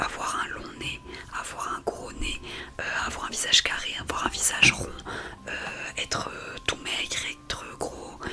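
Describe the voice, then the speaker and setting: Someone whispers at a fairly slow pace. Noticeable noise sits in the background. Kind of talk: ASMR talk to camera, whispering. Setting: home recording with background water noise. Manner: soft-spoken, personal, reflective.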